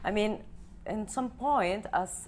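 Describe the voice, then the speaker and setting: A woman at a fairly slow pace with vocal fry, on a very clean recording with a silent background. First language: Spanish. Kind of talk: TV panel interview. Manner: hesitant, searching for words.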